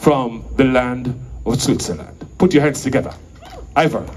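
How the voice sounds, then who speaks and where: At a fairly slow pace, a man speaks amid audible room echo and noticeable background noise. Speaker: event emcee. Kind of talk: stage introduction. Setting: stage with audience. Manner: formal.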